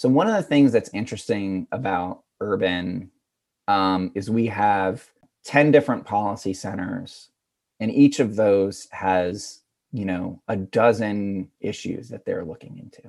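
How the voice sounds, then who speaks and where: A man with an American accent speaks in an ordinary speaking voice, fairly low in pitch with ordinary pitch variation. His pace is fairly slow, his loudness swings widely, and the background is quiet. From rural Pennsylvania. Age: 40s. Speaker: digital communications director. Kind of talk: interview. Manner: casual, filler-heavy.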